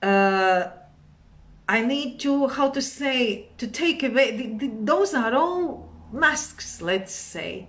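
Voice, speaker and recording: The speech comes at a very slow pace in a Latvian accent. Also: woman, high pitch for a woman. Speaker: meditation and yoga teacher. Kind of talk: live stream talk. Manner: halting.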